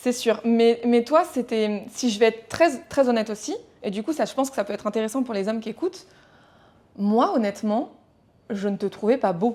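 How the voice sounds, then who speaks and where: Delivered at a moderate pace with long, frequent pauses, the voice has a dark, mellow tone and ordinary pitch variation. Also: woman, fairly high pitch for a woman. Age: 30s. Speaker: entrepreneur, podcast guest. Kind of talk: casual podcast conversation.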